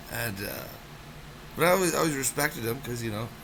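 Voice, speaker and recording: A man is speaking amid noticeable background noise. Room echo is audible too. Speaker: storyteller vlogger. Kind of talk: personal storytelling monologue. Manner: halting, many repetitions and fillers.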